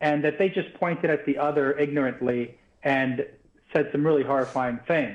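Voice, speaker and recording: With a New York accent, a man speaks at a moderate pace and a fairly high pitch, his loudness very even and his pitch variation ordinary. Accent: New York American. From New York, US. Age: 50s. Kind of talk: live TV interview. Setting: remote link from New York.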